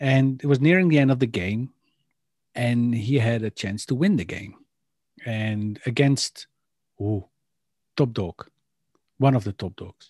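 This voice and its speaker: With a Dutch accent, a man speaks at a medium pitch with ordinary variation and a fairly slow pace, leaving long, frequent pauses, in a dry, close sound with no echo on a very clean recording with a silent background. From Netherlands. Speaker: podcast co-host. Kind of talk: casual chat.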